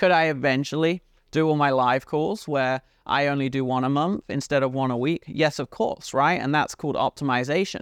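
In a British accent, a man with a fairly high pitch talks at a fairly quick pace, the sound dry and close with no echo and the background quiet. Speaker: podcast host and business coach. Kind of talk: motivational business monologue. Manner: animated, energetic.

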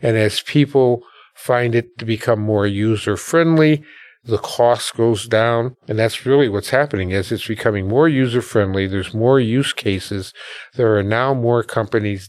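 Speaking with an American accent at a moderate pace, a man uses an ordinary speaking voice of medium pitch and ordinary pitch variation, recorded very cleanly over a silent background. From US Midwest, Milwaukee. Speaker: educational technology founder. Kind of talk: interview conversation. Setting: podcast studio.

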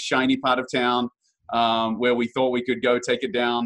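A man talks at a fairly quick pace with a New Zealand accent. His pitch is medium. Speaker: real estate investor. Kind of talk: interview. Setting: podcast.

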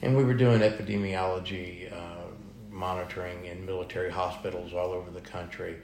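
A man with a very deep, low, somewhat breathy voice speaks at a fairly quick pace with fairly even intonation and big swings in loudness, with audible room echo. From Texas. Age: 60s. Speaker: food truck owner, military veteran. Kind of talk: interview.

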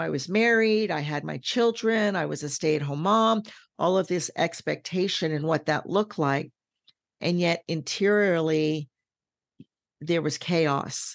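Against a quiet background, a woman speaks fairly slowly in an ordinary speaking voice, pitched fairly low with ordinary pitch variation. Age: 60s. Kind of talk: casual interview chat.

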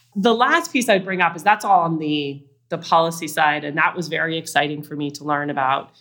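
A voice with an American accent moves at a fairly quick pace with hardly any pauses, showing ordinary pitch variation and big swings in loudness. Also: woman, fairly low pitch for a woman. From Utah. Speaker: venture capitalist. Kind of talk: interview.

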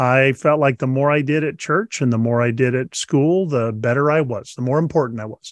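With a plain, everyday voice, a man speaks at a fairly high pitch and a moderate pace, the sound dry and close with no echo. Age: 60s. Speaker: author and leadership trainer. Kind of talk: casual interview chat.

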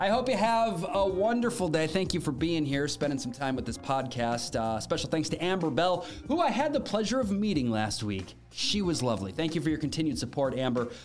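With music in the background and audible room echo, a man with a fairly high pitch swings very widely in tone and hardly pauses. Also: fairly quick pace. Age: 30s. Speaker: daily news podcast host. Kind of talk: news rundown with casual asides.

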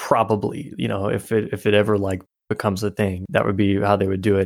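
A man with a normal speaking voice talks fairly quickly at a fairly low pitch. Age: 30s. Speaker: author. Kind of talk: casual chat.

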